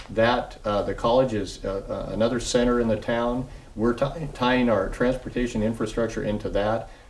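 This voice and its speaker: The intonation is monotone and flat, with audible room echo around the voice. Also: man, medium pitch for a man. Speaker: city public works official. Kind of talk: TV interview. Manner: fast; halting, many fillers.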